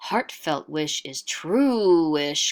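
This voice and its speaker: This put-on character voice sits at a middle pitch and comes out growling and gruff. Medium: read story. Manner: broken caveman grammar.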